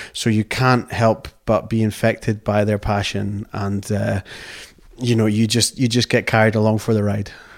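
In a Scottish accent, a man with a fairly low pitch speaks at a moderate pace in a flat monotone, on a very clean recording with a silent background. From Scotland, outside the Borders. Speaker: company director. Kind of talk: interview. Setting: tweed mill.

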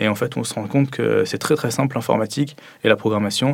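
A man talks at a fairly quick pace in a medium pitch. He has a plain, everyday voice with fairly even intonation. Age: 20s. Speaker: software development student. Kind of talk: interview testimony.

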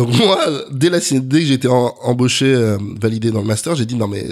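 A man's medium-pitched, normal speaking voice with ordinary pitch variation and a moderate pace. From Paris region, France (Neuilly). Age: 30s. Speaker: agency founder and CEO. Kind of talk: interview.

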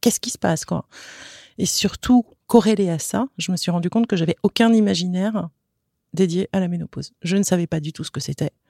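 Dry and close with no echo, a dark, mellow tone moves at a fairly quick pace with ordinary pitch variation and long, frequent pauses. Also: woman, medium pitch for a woman. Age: 50s. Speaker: digital strategy consultant, social media account founder. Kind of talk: interview testimony. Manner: hesitant, with repetitions.

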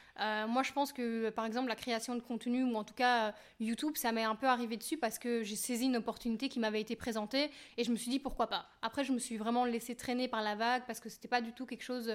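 A woman speaks at a very fast pace in a fairly high pitch, her intonation monotone and flat. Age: 30s. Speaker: YouTuber and makeup artist. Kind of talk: casual chat.

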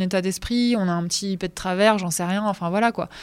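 In a very clean recording with a silent background, a woman speaks very fast at a medium pitch with ordinary pitch variation. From northern France. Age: 40s. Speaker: radio host. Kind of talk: personal testimony. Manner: hesitant, repeating words.

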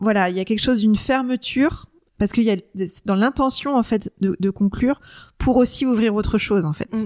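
Here a woman speaks at a moderate pace with fairly high pitch and ordinary pitch variation. The sound is dry and close, with no echo. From Brittany, France. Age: 40s. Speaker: coach. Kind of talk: casual chat. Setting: living room. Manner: hesitant.

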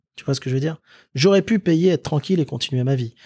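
A somewhat breathy man's voice with lively intonation. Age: 30s. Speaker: entrepreneur. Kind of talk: interview. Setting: office.

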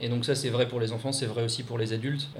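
Over noticeable background noise, the words rush by at a very fast pace in a monotone, flat intonation. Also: man. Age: 30s. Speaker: expatriate. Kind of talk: interview.

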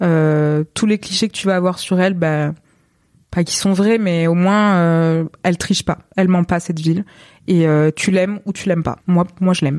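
A woman talks in an ordinary speaking voice, fairly low in pitch, at a moderate pace with fairly even intonation. The sound is dry and close, with no echo. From southern France, Montpellier area. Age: 20s. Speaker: photographer. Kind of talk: interview.

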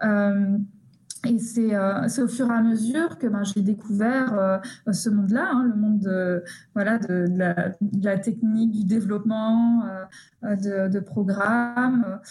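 The speech moves at a very slow pace with fairly even intonation and very even loudness. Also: woman, medium pitch for a woman. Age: 20s. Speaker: psychologist and researcher. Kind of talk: interview. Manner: halting, many repetitions.

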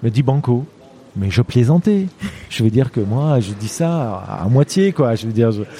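With noticeable background noise behind him, a man speaks at a medium pitch with lively intonation. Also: moderate pace. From Lebanon. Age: 50s. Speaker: mountaineer and endurance athlete. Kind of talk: interview storytelling. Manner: halting, many hesitations.

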